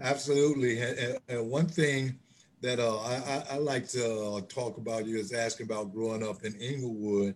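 A man talks with a Chicago urban accent. His intonation is fairly even. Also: medium pitch for a man, moderate pace. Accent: Chicago urban American English. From Chicago, US Midwest. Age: 60s.

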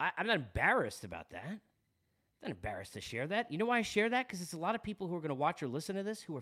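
An animated man's voice with very wide pitch swings, on a very clean recording against a silent background. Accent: Long Island. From New York, Long Island. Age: 40s. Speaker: sports podcast host. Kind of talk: casual monologue.

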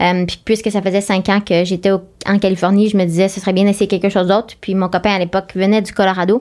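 This woman talks at a very fast pace and a medium pitch. Her intonation stays monotone and flat. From Quebec, Eastern Townships. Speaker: ultramarathon runner. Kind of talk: interview conversation.

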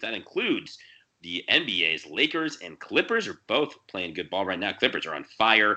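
A man's bright, sharp voice with very wide pitch swings at a fairly quick pace, over a quiet background. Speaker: sports betting podcast host. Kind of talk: casual chat.

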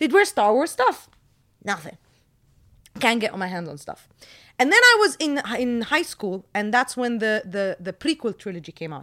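A woman's fairly high, bright and sharp voice in an animated, energetic tone, with very wide pitch swings and long, frequent pauses, on a very clean recording with a silent background. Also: moderate pace. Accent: American. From Jordan. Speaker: movie reviewer and YouTuber. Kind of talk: casual storytelling in an interview.

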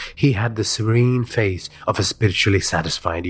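Someone is reading aloud. The delivery is plain.

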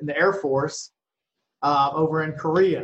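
A man talks at a fairly high pitch, with an unremarkable speaking voice. His intonation is fairly even. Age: 50s. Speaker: martial arts nonprofit director. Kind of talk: interview.

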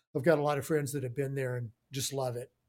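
A man with an American accent talks at a very fast pace with a fairly high pitch on a very clean recording with a silent background. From Houston, Texas. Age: 60s. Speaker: studio owner, producer and engineer. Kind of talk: casual interview chat.

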